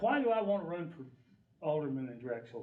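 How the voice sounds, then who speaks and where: Moderate-paced male speech amid noticeable background noise and audible echo from the room. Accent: American. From Ohio. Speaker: election candidate. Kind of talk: candidate forum speech. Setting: community room with audience.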